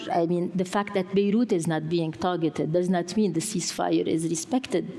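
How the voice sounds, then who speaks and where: Against noticeable background noise, a woman with a Lebanese accent talks at a fairly quick pace in a fairly low voice, keeping very even loudness and ordinary pitch variation. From Lebanon. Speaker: journalist. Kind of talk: panel discussion. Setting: stage with audience.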